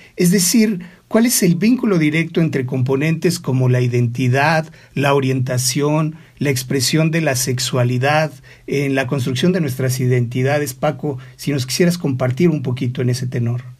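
Moderate pace, ordinary pitch variation, and a somewhat breathy sound. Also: man, fairly high pitch for a man. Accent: Mexican. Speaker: radio host. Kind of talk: radio interview. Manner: formal.

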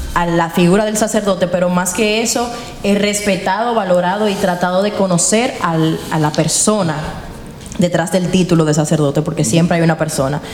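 A woman talks at a medium pitch with ordinary pitch variation. Audible room echo and noticeable background noise fill the recording. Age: young. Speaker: podcast host and producer. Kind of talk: casual interview.

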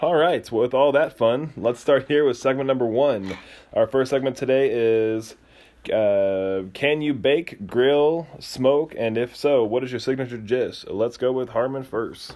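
At a fairly slow pace, a man speaks in a normal speaking voice of medium pitch, with ordinary pitch variation. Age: 30s. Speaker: podcast host. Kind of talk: casual chat.

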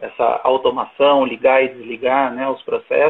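A man talks at a fairly slow pace. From southern Brazil, Rio Grande do Sul (Camaquã). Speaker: agricultural engineer, researcher. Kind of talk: interview on a live stream. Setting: video call live stream.

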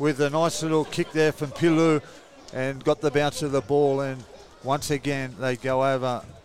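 Fairly high male pitch, fairly even intonation and a moderate pace, with noticeable background noise. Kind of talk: live sports commentary, co-commentator analysis. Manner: relaxed, conversational, casual banter.

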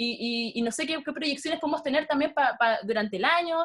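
A woman with a Chilean accent, high in pitch, bright and sharp in tone, at a fairly quick pace. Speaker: podcast host. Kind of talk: casual chat.

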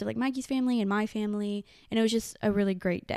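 Over a silent background in a very clean recording, a woman talks at a moderate pace with a medium pitch. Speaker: podcast host. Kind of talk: casual chat.

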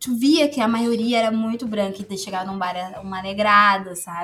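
Noticeable background noise sits behind a woman with a fairly high pitch. She speaks at a moderate pace with fairly even intonation. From Rio Grande do Sul, Novo Hamburgo. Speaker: pedagogy student and researcher. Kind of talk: casual interview.

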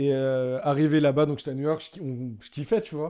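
A man's dark, mellow tone at a medium pitch with ordinary pitch variation. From Paris suburbs, France. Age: 20s. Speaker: photographer. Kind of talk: casual chat.

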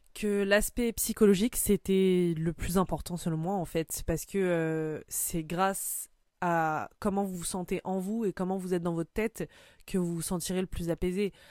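A woman with a normal speaking voice talks at a fairly slow pace, her intonation fairly even and her pitch medium. The sound is dry and close with no echo, on a very clean recording with a silent background. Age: 20s. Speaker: podcaster. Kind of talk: personal monologue.

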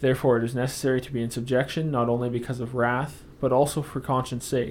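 Here is a plain, everyday voice from a man with a Canadian accent. He talks fairly quickly at a medium pitch. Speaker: podcast host. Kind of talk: casual chat.

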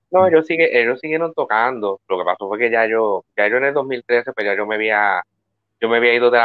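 A man speaks at a fairly quick pace. His pitch sits in the middle for a man, with ordinary variation. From Puerto Rico, Quebradillas. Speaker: musician. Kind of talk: interview. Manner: halting.

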